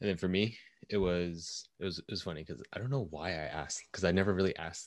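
Very fast and very deep, a man with a Californian accent speaks with ordinary pitch variation on a very clean recording with a silent background. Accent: Californian American English. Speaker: podcast host and marketer. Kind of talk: casual discussion.

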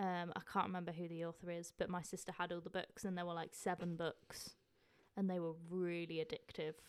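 The voice moves at a fairly quick pace in a monotone, flat intonation. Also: woman, fairly low pitch for a woman. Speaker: podcast co-host. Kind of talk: casual chat.

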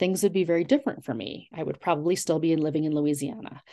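Against a quiet background, a woman with an American accent uses a plain, everyday voice, fairly low in pitch with ordinary pitch variation. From US, Long Island, New York. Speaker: author and college English professor. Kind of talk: interview.

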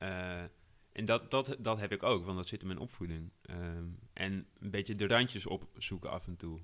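The speech comes at a moderate pace. The recording is very clean, with a silent background. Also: man, very deep, low pitch for a man, ordinary pitch variation. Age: 30s. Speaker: editor-in-chief. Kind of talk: interview. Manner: hesitant, many fillers.

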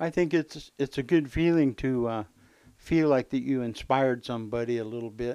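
Against a quiet background, a man with a dark, mellow tone talks at a moderate pace in a medium pitch with ordinary pitch variation. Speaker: guest, uncle of host, bluegrass musician. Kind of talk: elder life story, reminiscing about early music lessons and bands. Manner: easygoing, conversational, interjecting often.

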